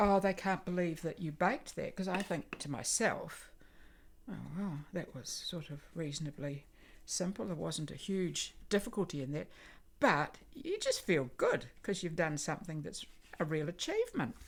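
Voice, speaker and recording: A somewhat breathy woman's voice with a New Zealand accent, fairly low in pitch, lively in intonation and moderate in pace, on a very clean recording with a silent background. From Christchurch, New Zealand. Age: 80s+. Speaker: volunteer baker. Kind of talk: interview answer and baking demonstration. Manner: casual, hesitant.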